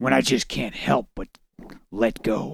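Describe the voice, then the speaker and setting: A put-on character voice. It moves at a fairly slow pace. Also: man. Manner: intimate, low.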